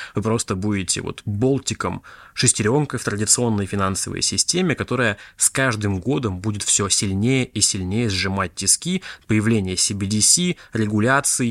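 A man with an ordinary speaking voice talks at a moderate pace in a fairly low pitch with ordinary pitch variation, recorded very clean with a silent background and a dry, close sound with no echo. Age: 20s. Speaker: podcast host, crypto investor. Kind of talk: solo monologue podcast. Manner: casual, conversational.

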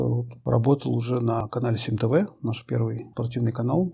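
Somewhat breathy, a man speaks at a medium pitch and moderate pace with ordinary pitch variation. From Moscow, Russia. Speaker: sports journalist. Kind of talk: personal testimony.

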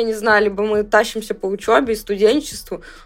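A woman at a fairly quick pace, fairly high in pitch, with music in the background. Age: 20s. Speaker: podcast co-host, university student. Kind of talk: casual chat.

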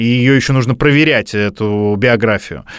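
A man talks at a moderate pace with a medium pitch and ordinary pitch variation. It is a plain, everyday voice. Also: very clean recording, silent background. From Russia, Bryansk. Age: 30s. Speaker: podcast host. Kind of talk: casual chat.

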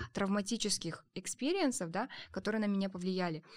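A woman speaks at a moderate pace with a medium pitch and ordinary pitch variation, in a plain, everyday voice. The recording is very clean, with a silent background. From Kazakhstan, small district town. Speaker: startup co-founder, education center. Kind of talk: casual chat.

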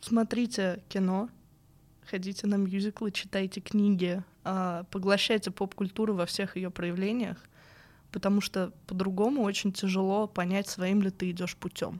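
In a very clean recording with a silent background, a woman speaks at a medium pitch in a monotone, flat way and at a fairly slow pace. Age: 20s. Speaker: narrative game designer. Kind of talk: casual interview. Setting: studio.

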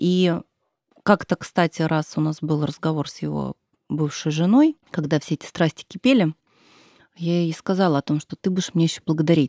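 In a very clean recording with a silent background, a woman with a dark, mellow tone speaks at a moderate pace and a fairly low pitch, with ordinary pitch variation and long, frequent pauses. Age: 30s. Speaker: mother and stepmother of five. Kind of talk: casual interview. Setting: studio.

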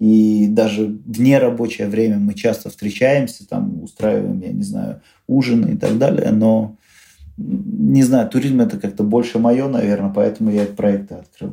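At a moderate pace, the speaker's tone comes across dark and mellow. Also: man, medium pitch for a man, ordinary pitch variation. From Uzbekistan, Tashkent. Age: 30s. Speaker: tour organizer and blogger. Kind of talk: interview.

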